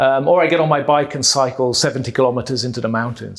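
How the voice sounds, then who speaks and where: The pace is fairly quick. The man talks with a British accent. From Malta. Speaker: tech executive. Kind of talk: interview.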